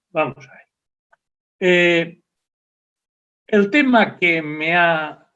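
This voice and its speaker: Very slow speech from a man, his pitch varying in an ordinary way. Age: 70s. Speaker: professor. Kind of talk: lecture. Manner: halting.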